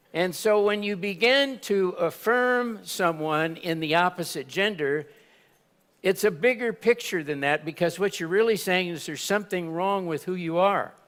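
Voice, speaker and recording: Spoken at a moderate pace in an American accent with ordinary pitch variation, the clip is a very clean recording with a silent background. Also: man, high pitch for a man. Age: 70s. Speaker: conference speaker giving personal testimony. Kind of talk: testimony. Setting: stage with audience.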